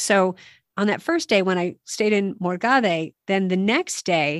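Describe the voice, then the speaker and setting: A woman with a plain, everyday voice speaks at a medium pitch with ordinary pitch variation, recorded dry and close with no echo on a very clean track with a silent background. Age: 50s. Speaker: podcast host and walking guide. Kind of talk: casual advice chat.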